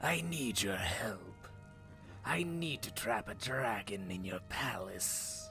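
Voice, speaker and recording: Over clear music in the background, a man whispers breathily in a put-on character voice at a very slow pace. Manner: secretive.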